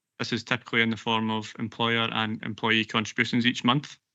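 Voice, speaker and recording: In a Glaswegian accent, a man speaks at a medium pitch and a moderate pace. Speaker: pension actuarial consultant. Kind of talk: presentation at a council committee meeting. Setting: council committee meeting broadcast live.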